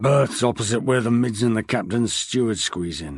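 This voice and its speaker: A man's raspy, put-on character voice with lively intonation and a moderate pace, over a quiet background. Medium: read story. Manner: folksy, drawling.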